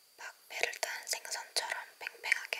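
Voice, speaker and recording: A voice talks in a whisper. There is noticeable noise in the background. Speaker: ASMR creator. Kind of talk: ASMR book reading. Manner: whispered.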